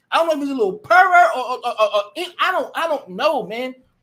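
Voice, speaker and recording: A man speaks in a raised, projected voice with a bright, sharp, animated tone and very wide pitch swings. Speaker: livestream commentator. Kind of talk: live stream commentary. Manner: fast.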